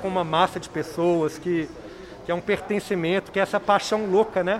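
Against noticeable background noise, a man speaks in a monotone, flat way at a high pitch and moderate pace. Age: 40s. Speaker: documentary film director. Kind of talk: radio interview.

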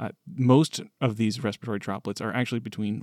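A man talks at a fairly quick pace with a medium pitch and ordinary pitch variation, in a plain, everyday voice. The sound is dry and close, with no echo. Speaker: podcast co-host. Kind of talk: casual discussion.

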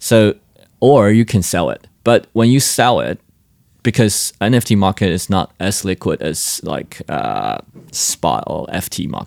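The voice has vocal fry and lively intonation at a fairly slow pace. The sound is dry and close, with no echo. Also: man, fairly low pitch for a man. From Taiwan. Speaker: crypto startup founder. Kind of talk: interview. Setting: in-person at a conference venue.

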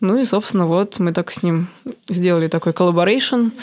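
At a fairly quick pace, a woman speaks in a plain, everyday voice with medium pitch and ordinary pitch variation. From Moscow, Russia. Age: 20s. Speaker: tattoo artist. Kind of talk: interview.

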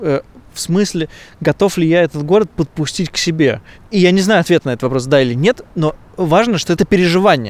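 A man speaks at a fairly quick pace, his pitch high and his intonation lively. The sound is dry and close, with no echo. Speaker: podcast host. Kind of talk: casual chat. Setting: outdoors.

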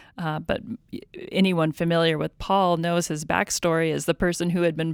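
Recorded very cleanly against a silent background, a woman speaks with fairly even intonation. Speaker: podcast host. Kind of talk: Bible study discussion.

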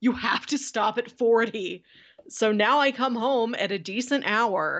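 This woman has a plain, everyday voice, and her pitch varies by a usual amount. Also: quiet background. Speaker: podcast co-host. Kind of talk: casual chat. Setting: video call.

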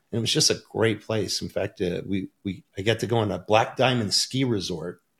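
With an American accent, a man at medium pitch sounds somewhat breathy, talking at a fairly quick pace with ordinary pitch variation. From Michigan, US. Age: 50s. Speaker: supplement company owner and business coach. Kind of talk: interview.

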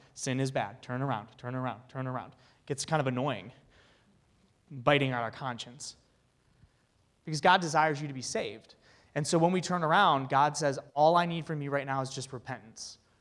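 A man's fairly high voice with ordinary pitch variation, fairly quick speech broken by long, frequent pauses, in a very clean recording with a silent background. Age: 30s. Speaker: youth ministry speaker. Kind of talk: talk to a men's group.

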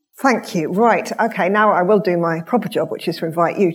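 A woman talks at a moderate pace while noticeable noise sounds in the background. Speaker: event moderator. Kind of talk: audience Q&A moderation. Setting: stage with audience.

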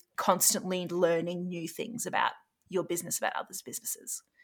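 A woman with an Australian accent, fairly low in pitch, bright and sharp in tone. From Australia, Brisbane. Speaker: startup CEO. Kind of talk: casual interview.

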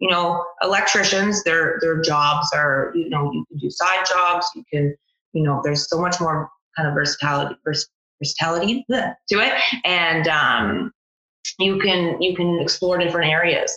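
A woman with a Canadian accent talks in a plain, everyday voice at a moderate pace. Her loudness is very even and her pitch variation ordinary. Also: fairly low pitch for a woman. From Ontario, Canada. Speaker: electrical apprentice. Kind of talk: casual interview.

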